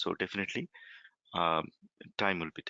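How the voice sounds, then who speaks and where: Talking at a very fast pace, a man speaks with a Bengali accent. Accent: Bengali accent, noticeable. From India, West Bengal. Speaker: software trainer. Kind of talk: online demo class Q&A. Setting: recorded online conference call. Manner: halting, many fillers.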